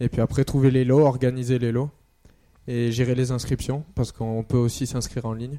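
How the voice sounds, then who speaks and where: In a dark, mellow tone, a man speaks at a medium pitch with monotone, flat intonation. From Marseille, southern France. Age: 20s. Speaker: cycling club race organizer. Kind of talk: radio interview.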